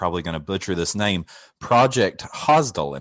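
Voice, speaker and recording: A man speaks with a Kentucky accent. His pitch is very deep and low. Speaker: podcast host. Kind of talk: interview.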